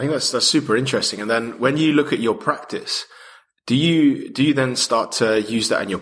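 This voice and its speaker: Bright and sharp in tone, a male voice with ordinary pitch variation. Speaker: podcast host. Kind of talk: interview.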